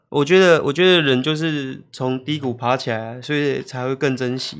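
A man talks at a moderate pace with medium pitch and fairly even intonation. It is an ordinary speaking voice, heard against a quiet background. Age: 30s. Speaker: YouTuber and illustrator. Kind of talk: casual chat.

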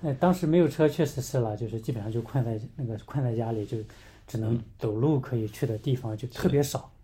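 Speaking at a fairly quick pace, a man with a dark, mellow, somewhat breathy tone uses a medium pitch with ordinary pitch variation. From mainland China. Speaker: missions mobilizer. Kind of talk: casual interview. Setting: in person in the same room.

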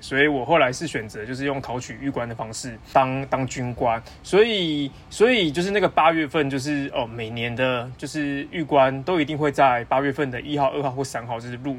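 A man with a plain, everyday voice talks at a fairly quick pace. His pitch is fairly high, with ordinary pitch variation. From Taiwan. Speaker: PhD student. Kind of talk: casual chat.

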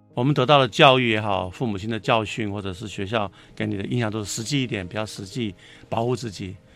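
Over music in the background, a man talks at a very fast pace in a fairly low pitch with ordinary pitch variation. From Taiwan, Taipei. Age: 60s. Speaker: writer and screenwriter. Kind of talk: casual interview.

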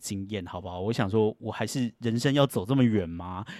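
Very fast speech arrives with a dry, close sound that has no echo. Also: man. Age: 40s. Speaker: podcast host. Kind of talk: casual solo monologue. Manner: animated.

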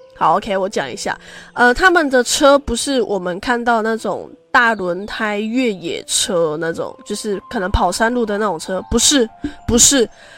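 With an unremarkable speaking voice, a woman talks fairly slowly at a fairly high pitch with lively intonation. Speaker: podcast host. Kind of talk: personal storytelling monologue. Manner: casual, many fillers.

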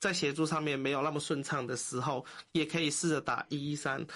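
A man's fairly high-pitched voice against a quiet background. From Hong Kong. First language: Cantonese (speaking Chinese). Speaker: social worker. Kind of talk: interview.

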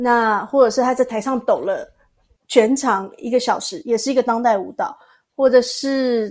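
Ordinary pitch variation in a Taiwanese accent. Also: woman. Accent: Taiwanese Mandarin. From Taiwan, Tainan. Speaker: dancer and massage therapist. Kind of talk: interview.

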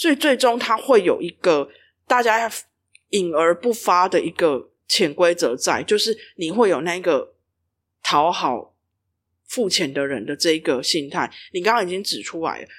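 A woman with a fairly low pitch speaks at a fairly slow pace with very wide pitch swings on a very clean recording with a silent background. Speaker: regulatory affairs specialist. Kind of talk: explanatory podcast chat. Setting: empty office.

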